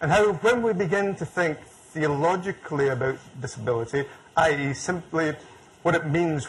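The speaker talks at a moderate pace. Their pitch rises and falls in an ordinary way. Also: man. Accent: Scottish. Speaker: theologian and lecturer. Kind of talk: public lecture.

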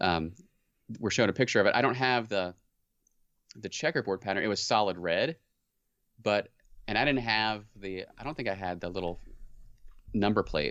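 Against a quiet background, a man speaks at a moderate pace with ordinary pitch variation. He leaves long, frequent pauses. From US Midwest and South. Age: 30s. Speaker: podcast co-host. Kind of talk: casual chat. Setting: remote call.

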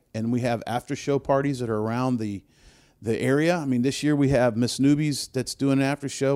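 In an American accent, a man speaks at a medium pitch and a fairly quick pace with fairly even intonation and a dark, mellow tone. The recording is very clean, with a silent background. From US South, New Orleans. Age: old. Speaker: music festival producer. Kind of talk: casual interview. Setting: in an office.

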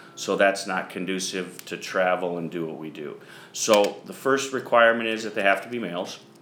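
A man speaks at a moderate pace with a fairly low pitch and ordinary pitch variation. His loudness swings widely, and the recording has audible room echo and noticeable background noise. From US Midwest (eastern Iowa). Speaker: horse farm general manager. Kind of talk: interview. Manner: hesitant with fillers.

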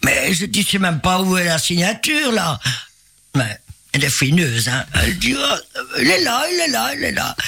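A man speaks in a high pitch at a moderate pace, his voice making very wide pitch swings. Long, frequent pauses break it up over noticeable background noise. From Belgium, Binche area. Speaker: singer. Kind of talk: interview. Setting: radio studio.

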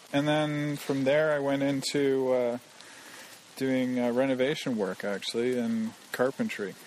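Through noticeable background noise, a man with a Canadian accent speaks at a fairly high pitch. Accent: Canadian English, contrasting with host. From Canada. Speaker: programmer. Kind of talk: casual interview conversation. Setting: outdoors, walking in a forest in the rain.

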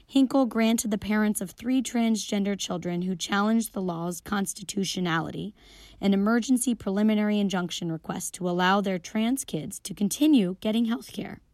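A woman with a plain, everyday voice, medium pitch, ordinary pitch variation and a moderate pace, on a very clean recording with a silent background. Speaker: radio news co-host. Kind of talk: news reading.

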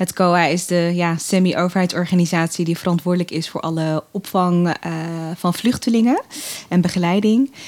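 This woman has a plain, everyday voice, fairly low in pitch, delivered at a moderate pace with fairly even intonation. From Netherlands, Assen (born in Eritrea). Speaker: political candidate, political scientist. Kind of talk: podcast interview.

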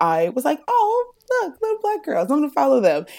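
The speaker is a woman with an American accent. The recording is very clean, with a silent background. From Ohio, US Midwest. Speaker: book content creator. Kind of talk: podcast interview.

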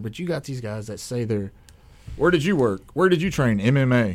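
An American-accented man with a medium pitch and an unremarkable speaking voice, at a fairly quick pace. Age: 30s. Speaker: MMA fighter. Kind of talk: radio interview. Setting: studio.

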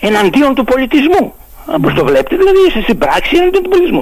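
A man speaks at a moderate pace, his pitch swinging very widely. Noticeable background noise runs under the recording. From Greece, Lemnos island. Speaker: author of a local dialect dictionary. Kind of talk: radio interview.

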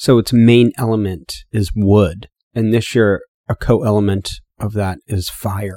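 Speaking in an ordinary speaking voice, a man with a fairly low pitch and ordinary pitch variation comes through dry and close with no echo on a very clean recording with a silent background. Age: 30s. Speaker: podcast host and supplement maker. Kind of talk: solo podcast monologue.

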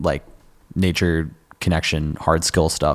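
Against a silent background on a very clean recording, a man with a Californian accent speaks in a monotone, flat intonation. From US West Coast, Sonoma County, California. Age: 20s. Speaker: musician. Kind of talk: casual chat. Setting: stage with audience.

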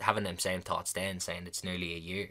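Very deep, low-pitched male voice in an Irish accent, bright and sharp in tone, at a fairly quick pace on a very clean recording with a silent background. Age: 20s. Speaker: podcast host. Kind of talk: casual monologue. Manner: fast; animated.

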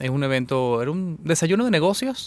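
Very cleanly recorded against a silent background, a man with an ordinary speaking voice talks at a moderate pace with ordinary pitch variation. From Venezuela. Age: 30s. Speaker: engineer and business club president. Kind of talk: radio interview. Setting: radio studio.

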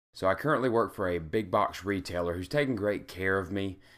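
A man with a very deep, low voice talks fairly quickly on a very clean recording with a silent background. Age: 30s. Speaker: gaming and self-improvement blogger. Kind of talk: personal vlog monologue. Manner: casual, with many fillers.

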